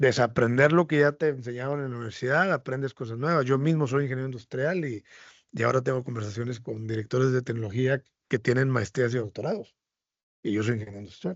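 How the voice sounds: A man's medium-pitched voice at a fast pace with ordinary pitch variation.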